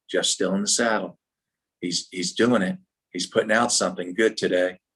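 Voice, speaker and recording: A man with an American accent speaks in a plain, everyday voice at a fairly low pitch. He keeps a moderate pace with fairly even intonation. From United States. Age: 60s. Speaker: business leadership trainer. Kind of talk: workshop talk. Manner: casual, many fillers.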